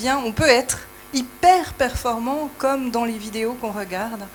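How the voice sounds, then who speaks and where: With a Swiss accent, a woman speaks in a high pitch against noticeable background noise. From Switzerland. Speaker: audience member, sexologist. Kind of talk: audience question.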